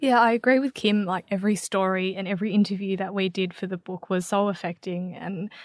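Speaking at a moderate pace with fairly even intonation, a woman with an Australian accent and a medium-pitched voice is heard in a very clean recording with a silent background and a dry, close sound with no echo. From Australia, Melbourne. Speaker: writer and magazine editor. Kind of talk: interview.

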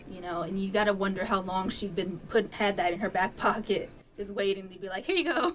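Over noticeable background noise, a woman talks at a fairly quick pace and medium pitch with ordinary pitch variation. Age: 30s. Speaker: high school English teacher. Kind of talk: casual interview. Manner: hesitant with many fillers.

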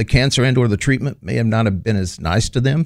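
Speaking with a Texan accent, a man comes through on a very clean recording with a silent background. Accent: Texan American. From northeast Texas (Texarkana). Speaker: charity executive director. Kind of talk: interview.

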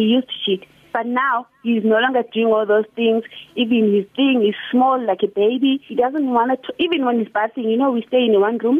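Her voice fairly high, a woman speaks at a moderate pace. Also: fairly even intonation. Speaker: radio caller. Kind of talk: phone-in call. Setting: phone call. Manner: loud.

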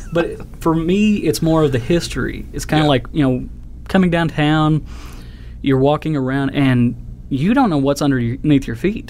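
Speaking at a moderate pace with an American accent, a man uses a fairly high pitch and ordinary pitch variation against noticeable background noise. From Oklahoma. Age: 30s. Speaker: metal detecting hobbyist. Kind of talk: casual interview.

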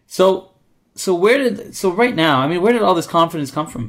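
In a Canadian accent, a man talks at a moderate pace in a plain, everyday voice with ordinary pitch variation. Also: very clean recording, silent background. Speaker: podcast host. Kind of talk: casual interview. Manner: upbeat.

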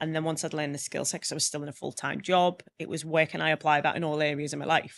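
Speaking at a very fast pace with a Liverpool accent, a woman has a very deep, low pitch and vocal fry, against a quiet background. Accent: Scouse (Liverpool). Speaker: public speaker and trainer. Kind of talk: casual interview chat. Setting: studio. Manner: animated, humorous.

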